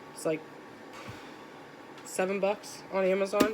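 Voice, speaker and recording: A woman speaks with a medium pitch. Noticeable background noise is present. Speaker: crochet YouTuber. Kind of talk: casual book tag show-and-tell. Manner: casual, filler-heavy; volume varies.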